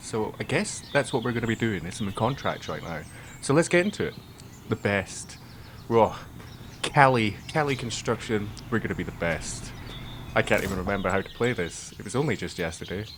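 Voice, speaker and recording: A man with a Scottish accent speaks at a fairly low pitch with lively intonation. His pace is fairly quick, broken by long, frequent pauses. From Scotland. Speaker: gamer. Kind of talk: casual let's play commentary.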